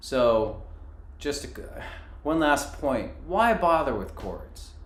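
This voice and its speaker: A man speaks at a very slow pace with big swings in loudness. Audible room echo surrounds the voice. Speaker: fiddle teacher. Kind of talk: tutorial. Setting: live-stream webinar. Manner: halting.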